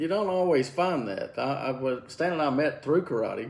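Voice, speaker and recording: At a moderate pace, a man with a Southern US accent speaks at a fairly high pitch with ordinary pitch variation. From Alabama. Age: 40s. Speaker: karate instructor and podcast host. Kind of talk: casual chat. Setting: at home, drinking beer.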